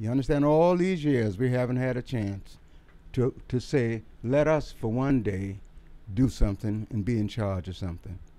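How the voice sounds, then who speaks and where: His tone is dark and mellow, with lively intonation. The man speaks at a moderate pace. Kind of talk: interview answer. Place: office. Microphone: handheld.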